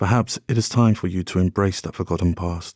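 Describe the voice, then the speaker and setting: Recorded very cleanly against a silent background, with a dry, close sound and no echo, a man speaks somewhat breathily at a moderate pace. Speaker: sleep story narrator. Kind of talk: sleep story.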